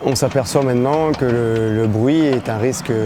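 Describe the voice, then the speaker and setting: Noticeable background noise surrounds a man's voice. He speaks at a moderate pace with medium pitch and ordinary pitch variation. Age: 30s. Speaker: construction site foreman. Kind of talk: interview testimony.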